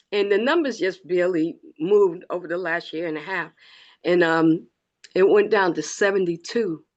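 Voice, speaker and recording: A woman with a plain, everyday voice, medium pitch, ordinary pitch variation and a moderate pace. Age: 60s. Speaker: retired educator. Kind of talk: testimony. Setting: video call.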